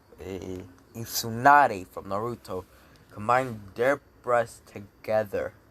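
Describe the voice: A passage in plain reading aloud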